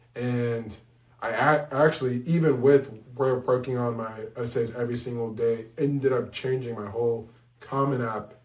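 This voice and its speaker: A man speaks at a moderate pace in a medium, monotone pitch with flat intonation, with audible room echo around him. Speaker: college admissions advisor. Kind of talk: advice talk; testimony. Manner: halting; casual.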